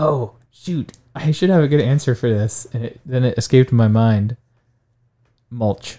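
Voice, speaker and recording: A man with an American accent speaks at medium pitch in a dark, mellow tone with ordinary pitch variation. His pace is fairly slow, with long, frequent pauses. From Ohio, Stark County. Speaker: high school science teacher. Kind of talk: interview. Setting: studio.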